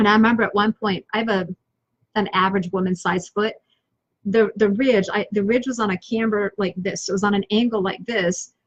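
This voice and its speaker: Somewhat breathy and energetic in tone, a woman's voice comes through with a dry, close sound and no echo. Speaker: business coach and online show host. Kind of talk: motivational talk on a live stream.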